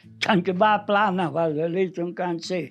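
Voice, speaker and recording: A man is speaking. Music plays in the background. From Valgrisenche, Aosta Valley, Italy. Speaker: mountain villager, former farm worker. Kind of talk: interview answer.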